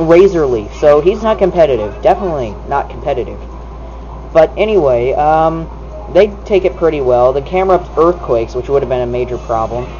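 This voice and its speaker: Fairly quick male speech with noticeable background noise. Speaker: gaming video commentator. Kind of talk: gameplay commentary. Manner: loud. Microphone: camera's built-in mic, not a proper microphone.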